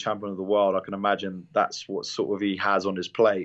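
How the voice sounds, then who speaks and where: A man with a British accent, fairly low in pitch, at a fairly quick pace. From London. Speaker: MMA fighter. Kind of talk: interview. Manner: halting, many repeated words.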